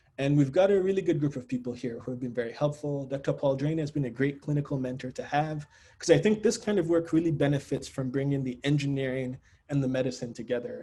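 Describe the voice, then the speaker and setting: A man with a fairly high pitch speaks at a fairly quick pace. His tone is dark, mellow and somewhat breathy, with ordinary pitch variation. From Nigeria (Lagos). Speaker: engineering researcher, assistant professor. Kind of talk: academic seminar talk. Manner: fast.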